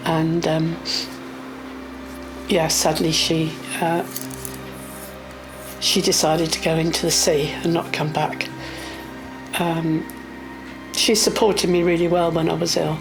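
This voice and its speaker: Music plays behind a woman speaking at a fairly slow pace, fairly low in pitch, with long, frequent pauses. Her intonation is monotone and flat, her loudness very even. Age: 60s. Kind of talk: personal interview answer, recounting life experience.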